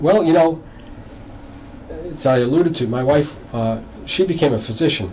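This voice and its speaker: Noticeable background noise and audible room echo surround a man with an American accent, fairly high-pitched for a man, who uses lively intonation and long, frequent pauses. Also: moderate pace. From Massachusetts, US. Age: 60s. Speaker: novelist. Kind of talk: interview on local TV show. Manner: halting.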